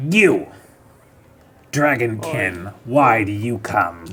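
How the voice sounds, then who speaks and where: This man puts on a character voice, talking very slowly at a medium pitch. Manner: commanding, menacing.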